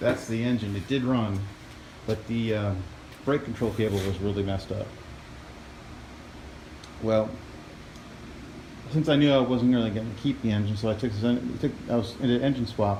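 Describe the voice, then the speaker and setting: Amid noticeable background noise, a man speaks at a moderate pace with fairly even intonation and long, frequent pauses. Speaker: hobbyist lawnmower repairer. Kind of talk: casual talk to camera.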